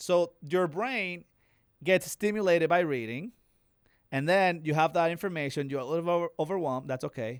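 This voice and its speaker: Recorded very cleanly against a silent background, a man speaks with a Latin American accent and lively intonation. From Dominican Republic. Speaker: real estate investor. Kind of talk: casual interview. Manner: repetitive, some self-corrections.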